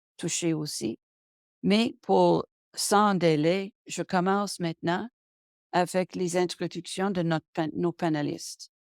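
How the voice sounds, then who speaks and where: A woman speaks very slowly at a fairly low pitch, with ordinary pitch variation. The sound is dry and close, with no echo. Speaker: webinar moderator and arts management consultant. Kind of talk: webinar introduction read from prepared text. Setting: online webinar. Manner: halting, frequent self-corrections.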